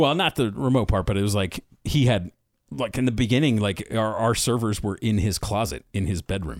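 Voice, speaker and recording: Speaking in an American accent with a normal speaking voice, a man with a fairly low pitch talks at a moderate pace with lively intonation. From Philadelphia area, US. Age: 40s. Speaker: podcaster. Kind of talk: casual chat.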